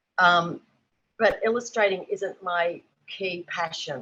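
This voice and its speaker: A woman with an Australian accent has a bright, sharp tone, a medium pitch, and ordinary pitch variation. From rural New South Wales, Australia. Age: 60s. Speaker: artist and children's book illustrator. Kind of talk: panel discussion. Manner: halting, many fillers.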